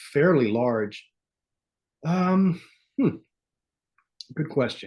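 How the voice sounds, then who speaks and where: Against a quiet background, a man with a New York accent talks in a somewhat breathy voice with lively intonation. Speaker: podcast host guest. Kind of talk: casual chat. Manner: intense; halting.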